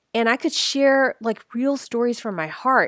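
The woman's pitch is high and her tone bright and sharp. The sound is dry and close with no echo, in a very clean recording with a silent background. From US, San Francisco. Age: 40s. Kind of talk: devotional podcast monologue. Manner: gentle, reflective.

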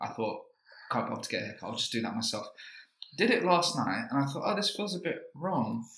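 Talking very fast in a London accent, a man with a high pitch swings very widely up and down. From East London, Leytonstone. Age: 20s. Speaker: comedian. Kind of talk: casual chat.

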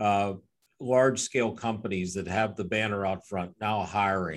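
A man with a plain, everyday voice talks at a moderate pace with fairly low pitch. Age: 60s. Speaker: webinar host. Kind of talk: webinar interview.

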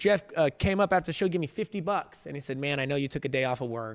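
Over a silent background in a very clean recording, a man talks very fast with very wide pitch swings. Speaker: combat sports commentator. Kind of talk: casual podcast interview. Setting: studio.

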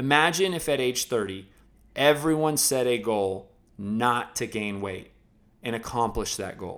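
This is an unremarkable speaking voice with lively intonation. The pace is fairly slow. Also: man, medium pitch for a man. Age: 20s. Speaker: podcast host and fitness trainer. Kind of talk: reading aloud.

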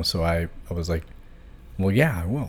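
The talk moves at a fairly quick pace in an American accent. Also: man. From Virginia, US (Hanover County). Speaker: tech worker. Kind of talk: casual interview.

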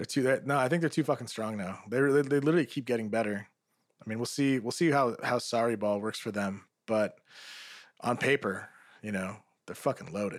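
Ordinary pitch variation marks an unremarkable speaking voice moving at a fairly quick pace. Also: man, medium pitch for a man. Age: 30s. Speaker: football podcast host. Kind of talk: casual chat.

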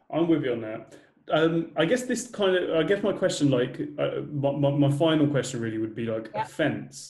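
With a British accent, a man talks at a fairly quick pace in a fairly high-pitched, somewhat breathy voice with a dark, mellow tone. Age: 20s. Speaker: podcast host. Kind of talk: casual interview chat.

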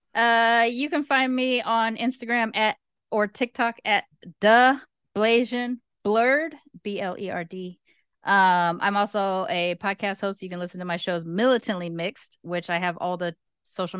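With an American accent and a normal speaking voice, a woman talks at a moderate pace and medium pitch with ordinary pitch variation, recorded dry and close with no echo against a quiet background. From Los Angeles, US. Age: 40s. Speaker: content creator and travel show host. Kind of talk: casual chat.

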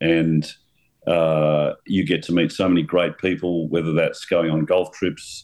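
A man with an Australian accent and a very deep, low pitch speaks at a fairly slow pace, his intonation monotone and flat and his loudness very even. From Victoria, Australia. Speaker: golf club owner. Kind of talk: interview.

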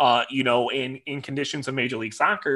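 In a Midwestern American accent, a man speaks at a moderate pace with a medium pitch. His tone is bright and sharp, and the very clean recording has a silent background. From Michigan, near Detroit. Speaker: soccer supporters club president. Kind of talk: interview.

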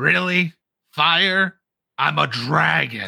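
A man puts on a raspy character voice at a fairly high pitch. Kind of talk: villain monologue. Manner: scornful, menacing, sarcastic.

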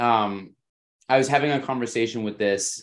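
A plain, everyday voice from a man, with pitch that varies in an ordinary way. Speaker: podcast host. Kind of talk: casual interview.

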